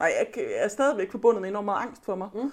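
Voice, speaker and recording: A woman is speaking. Her pitch is high. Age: 30s. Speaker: author. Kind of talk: casual chat. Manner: halting.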